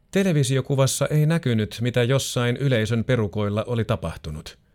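A man with an ordinary speaking voice, medium pitch and lively intonation at a moderate pace, on a very clean recording with a silent background. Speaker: narrator reading a magazine feature aloud. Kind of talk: scripted true-crime style narration of a magazine feature, read aloud. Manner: measured, sober and suspenseful, even storytelling pace.

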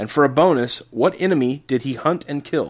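A man's fairly high voice with vocal fry, at a moderate pace. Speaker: podcast host. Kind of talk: casual chat; quiz hosting. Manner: animated.

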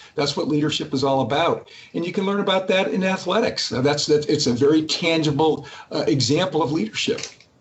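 A man talks at a fairly quick pace in a fairly high pitch, with ordinary pitch variation. Noticeable background noise runs underneath. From Massachusetts. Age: 60s. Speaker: company CEO. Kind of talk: interview. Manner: halting, many repeated words.

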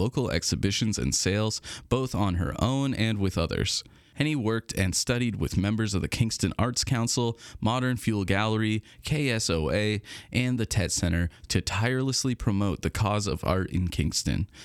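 A man with an ordinary speaking voice talks at a fairly low pitch and a moderate pace, with ordinary pitch variation. His loudness stays very even on a very clean recording with a silent background. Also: dry, close sound with no echo. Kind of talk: newsreading. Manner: polished and formal, warm announcer cadence, reading arts listings and dates.

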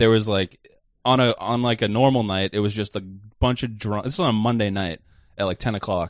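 A plain, everyday voice from a man, fairly low in pitch, at a fairly quick pace with fairly even intonation and a quiet background. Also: dry, close sound with no echo. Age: 20s. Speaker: stand-up comedian and podcast co-host. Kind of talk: casual chat.

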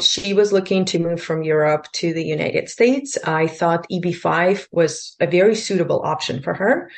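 In a Russian accent, a woman speaks at a fairly slow pace. Her pitch is fairly low, with ordinary variation. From Lithuania, Russian-speaking. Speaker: immigration attorney and broker-dealer. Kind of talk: interview.

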